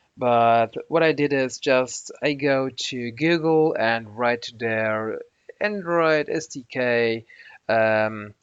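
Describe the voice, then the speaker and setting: A man with a non-native accent speaks at a very slow pace in a medium pitch, with ordinary pitch variation over a quiet background. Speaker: software tutorial maker. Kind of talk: screen-recorded tutorial. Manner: halting, many fillers and restarts.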